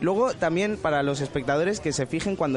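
Crowd noise fills the background as a man with a high pitch talks. He goes at a very fast pace with lively intonation. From Benalmádena, Spain. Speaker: podcast critic. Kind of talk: casual chat.

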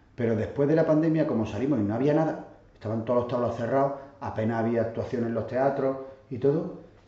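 In a room with audible echo, a man talks at a very fast pace with ordinary pitch variation. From Catalonia, Barcelona, Andalusian parents. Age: 40s. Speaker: flamenco dancer. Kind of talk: casual interview chat.

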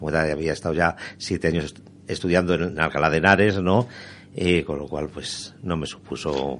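This man's voice is very deep and low. He keeps his intonation fairly even. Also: moderate pace. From Spain, Toledo province and Zaragoza. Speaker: novelist. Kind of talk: radio interview. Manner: halting, many fillers.

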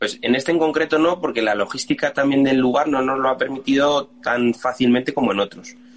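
A man at medium pitch and a fairly quick pace, with hardly any pauses, ordinary pitch variation and very even loudness over noticeable background noise. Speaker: band musician. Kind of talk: casual interview.

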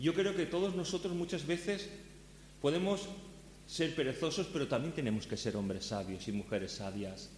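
Amid noticeable background noise and audible room echo, a man's pitch swings very widely. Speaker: pastor. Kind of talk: sermon.

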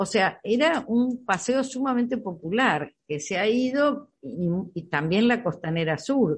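A somewhat breathy woman's voice, fairly high in pitch, with very wide pitch swings and a fairly slow pace. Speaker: architect, activist. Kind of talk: radio interview.

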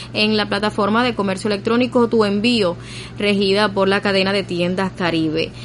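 A woman's medium-pitched voice at a fairly quick pace, with fairly even intonation and noticeable background noise. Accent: Cuban. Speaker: radio news presenter. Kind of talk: news reading. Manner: formal.

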